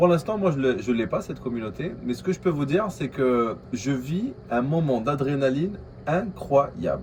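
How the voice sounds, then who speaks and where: A man with a slight Algerian accent speaks at a moderate pace and a fairly high pitch. His voice is somewhat breathy, with lively intonation. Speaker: vlogger, aspiring entrepreneur. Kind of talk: casual vlog monologue. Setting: coworking space. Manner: hesitant, many fillers.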